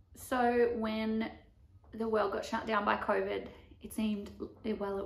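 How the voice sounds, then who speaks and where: With an Australian accent, a woman talks at a moderate pace amid audible room echo. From Australia, Melbourne. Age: 20s. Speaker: vlogger and barrel racer; vlogger. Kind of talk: vlog monologue. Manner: casual, filler-heavy. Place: home room. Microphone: camera far.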